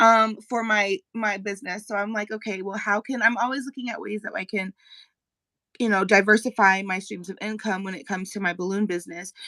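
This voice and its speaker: Speaking in an American accent, a woman has a medium pitch. Her pace is fairly quick and her intonation fairly even. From Colorado, US. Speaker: magazine editor and balloon artist. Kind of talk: interview. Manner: fast.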